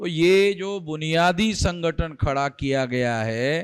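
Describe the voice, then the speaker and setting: The voice shows ordinary pitch variation, captured on a very clean recording with a silent background. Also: man. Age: 60s. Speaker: activist leader. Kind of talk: speech to rally.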